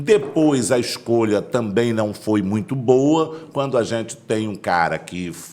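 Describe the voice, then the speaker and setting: With noticeable background noise behind him, a man speaks very slowly with lively intonation, big swings in loudness and hardly any pauses. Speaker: pastor and political candidate. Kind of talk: interview.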